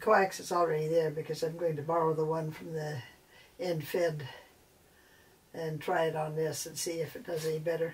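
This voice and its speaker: A woman's very deep, low voice at a moderate pace, monotone and flat, broken by long, frequent pauses. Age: 70s. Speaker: amateur radio operator. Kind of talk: casual DIY tutorial talk. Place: home room. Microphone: camera far.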